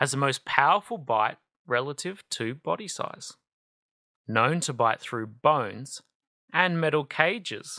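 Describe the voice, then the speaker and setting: In an Australian accent, the voice has a calm, soothing tone at a fairly slow pace with long, frequent pauses. The recording is very clean with a silent background. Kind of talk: children's book read-aloud.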